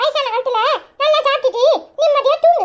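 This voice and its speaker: This is a cartoonish character voice. It sounds squeaky. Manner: teasing, mocking.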